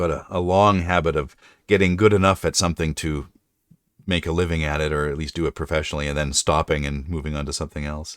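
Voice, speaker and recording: A man with a very deep, low voice talks very fast on a very clean recording with a silent background. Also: fairly even intonation. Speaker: streamer and writer. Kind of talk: casual chat. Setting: live stream.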